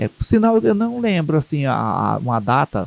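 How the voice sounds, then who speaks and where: A man's very slow-paced speech, fairly slow, with very wide pitch swings and a dry, close sound with no echo. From Ceará, Brazil (Maranguape). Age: 60s. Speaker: Umbanda priest and community leader. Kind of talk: interview. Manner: halting, with many repetitions.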